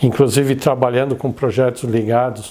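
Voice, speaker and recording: A man at medium pitch speaks at a moderate pace in a monotone, flat intonation, his tone dark and mellow. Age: 60s. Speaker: innovation consultant and professor. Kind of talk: interview testimony.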